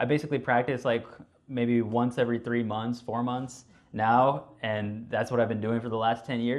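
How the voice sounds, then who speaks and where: A man's medium-pitched voice keeps to a moderate pace with monotone, flat intonation. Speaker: clinical psychologist giving a talk. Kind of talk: lecture.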